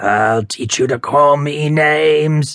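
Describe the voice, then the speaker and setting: Putting on a growling character voice, a man speaks fairly slowly at a fairly high pitch. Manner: snarling, threatening.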